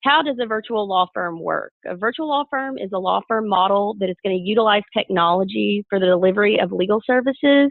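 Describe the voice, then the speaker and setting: With a strong Southern US accent, a woman talks at a fairly quick pace in a medium pitch with ordinary variation. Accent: thick Southern US. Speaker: lawyer. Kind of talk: webinar presentation. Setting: webinar.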